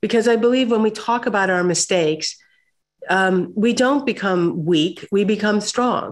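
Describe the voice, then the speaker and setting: A woman with an American accent speaks at a moderate pace, her intonation lively. The background is quiet. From US Midwest. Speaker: corporate communications executive and author; webinar guest. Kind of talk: interview. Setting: video call. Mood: earnest, reflective. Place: home room. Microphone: webcam.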